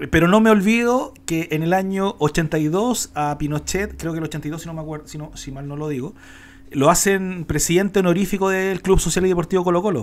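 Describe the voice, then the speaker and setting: This man has a Chilean accent and a high pitch. His loudness swings widely, while his pitch varies in an ordinary way. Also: moderate pace. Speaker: podcast co-host. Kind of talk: casual political chat. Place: home room. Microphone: studio mic.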